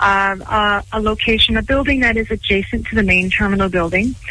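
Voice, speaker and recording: With a western Canadian accent, a woman speaks at a moderate pace and with fairly even intonation. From Canada, Vancouver Island. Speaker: airport executive. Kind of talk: radio interview.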